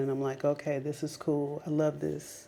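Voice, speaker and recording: A woman with an American accent speaks with a very deep, low pitch. Her tone is dark and mellow. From Las Vegas, Nevada, US. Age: 40s. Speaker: lifestyle vlogger. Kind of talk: personal testimony monologue. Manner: animated, conversational.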